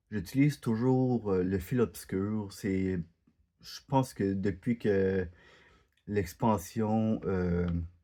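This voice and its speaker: Speaking very slowly with long, frequent pauses, a man with a Quebec accent has a fairly low pitch. His tone is dark and mellow, and the background is quiet. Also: ordinary pitch variation. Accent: Quebec French, unlike French from France. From Quebec, Canada. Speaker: gaming YouTuber. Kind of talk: gameplay commentary. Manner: halting, many hesitations.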